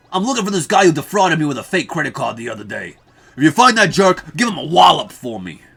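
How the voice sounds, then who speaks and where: In a put-on character voice, a woman talks at a very fast pace and a fairly low pitch, her loudness swinging widely and her pitch swinging very widely. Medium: role play.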